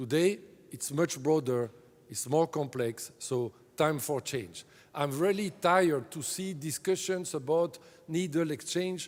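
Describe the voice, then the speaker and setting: With a French accent, a man talks in a fairly high pitch at a fairly slow pace, with ordinary pitch variation. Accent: French-speaking accent in English. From French-speaking Europe. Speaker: drug agency director. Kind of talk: conference keynote speech. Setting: conference stage with audience. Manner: halting, many fillers.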